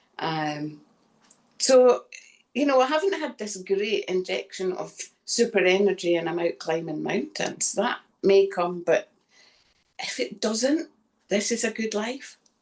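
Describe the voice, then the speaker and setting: A woman with a Scottish accent speaks at a fairly slow pace, with long, frequent pauses. Her pitch is medium and her intonation lively. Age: 60s. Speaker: chronic fatigue patient, former personal trainer. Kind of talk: testimony.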